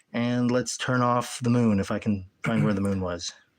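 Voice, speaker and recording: The very clean recording, silent in the background, captures a man whose pitch varies in an ordinary way. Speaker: streamer showing a star projector. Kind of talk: live stream demo. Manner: casual, halting with fillers.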